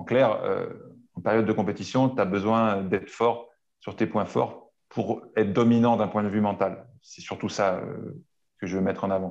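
A fairly slow delivery with fairly even intonation and big swings in loudness. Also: man, fairly low pitch for a man. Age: 40s. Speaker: strength and conditioning coach. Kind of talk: interview. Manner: halting.

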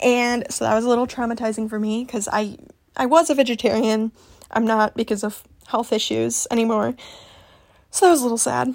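The speaker has a Midwestern accent and fairly even intonation. The delivery runs at a fairly quick pace yet has long, frequent pauses. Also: woman, fairly high pitch for a woman. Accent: general Midwestern American. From US Midwest. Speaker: podcast host. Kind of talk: casual solo vlog-style talk.

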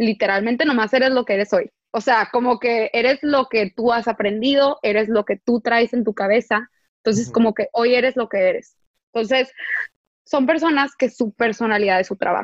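A woman with an ordinary speaking voice talks at a moderate pace, her fairly high pitch and very even loudness carried on fairly even intonation. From Tijuana, northern Mexico. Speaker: podcast host. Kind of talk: casual interview chat.

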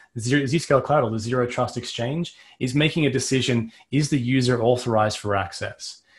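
On a very clean recording with a silent background, a man with an Australian accent speaks at a medium pitch, somewhat breathy, with fairly even intonation. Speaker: cybersecurity vendor strategist. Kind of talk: technical interview.

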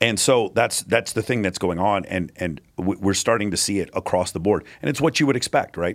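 Speaking at a fairly quick pace with hardly any pauses, a man has a fairly low pitch, ordinary pitch variation and an unremarkable speaking voice, captured on a very clean recording with a silent background. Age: 40s. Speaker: online debater and podcaster. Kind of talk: casual chat.

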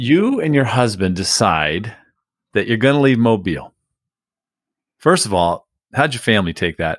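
With very wide pitch swings around a medium pitch, a man speaks at a moderate pace with long, frequent pauses, in a very clean recording with a silent background and a dry, close sound with no echo. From US West Coast, San Diego. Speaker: podcast host, real estate industry executive. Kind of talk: interview conversation.

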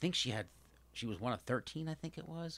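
A man's bright, sharp voice at a very fast pace, in a very clean recording with a silent background. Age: 50s. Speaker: podcast host's father. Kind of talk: casual chat. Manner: halting.

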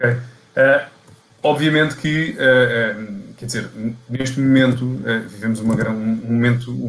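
A man at medium pitch speaks with fairly even intonation while music plays in the background. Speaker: podcast host for a property portal. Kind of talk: interview. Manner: halting.

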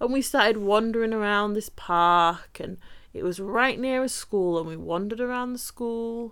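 Recorded very cleanly against a silent background, a woman speaks at a moderate pace with an English accent. Her voice is fairly high in pitch, with ordinary pitch variation. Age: 20s. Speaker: podcast host, nanny. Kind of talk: casual storytelling monologue.

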